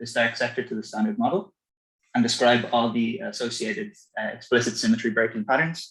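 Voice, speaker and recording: A man's medium-pitched voice with an Irish accent, lively intonation and a very fast pace. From Ireland. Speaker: physicist. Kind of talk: lecture. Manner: halting, many fillers.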